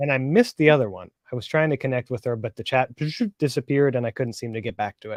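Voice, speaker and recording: Heard in a dry, close recording with no echo, a man with a Northern California accent talks at a very fast pace with ordinary pitch variation. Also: medium pitch for a man, big swings in loudness. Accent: Northern California, Philly accent dropped. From Philadelphia, Pennsylvania. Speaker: live stream guest, reseller. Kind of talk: casual chat.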